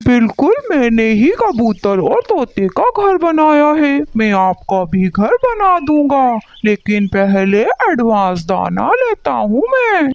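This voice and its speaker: A cartoonish character voice that sounds female, high in pitch, goes at a fairly slow pace. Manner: matter-of-fact, bargaining.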